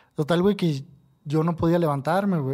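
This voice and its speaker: The recording is very clean, with a silent background. A man speaks at a fairly high pitch in a dark, mellow tone with ordinary pitch variation. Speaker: tattoo artist. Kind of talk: casual chat.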